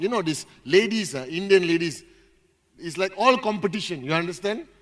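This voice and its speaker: Lively in intonation, a man projects a raised, high-pitched voice with a bright, sharp tone. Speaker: motivational speaker at company event. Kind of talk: motivational speech. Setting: stage with audience. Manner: loud; animated.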